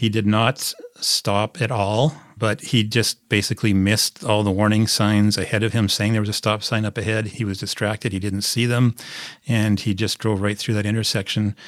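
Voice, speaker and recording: A man with a Canadian Prairies accent speaks at a moderate pace in a fairly low pitch, his intonation monotone and flat. The recording is very clean, with a silent background. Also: dry, close sound with no echo. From Saskatchewan, Canada (small town near Prince Albert). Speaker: sports journalist. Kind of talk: interview.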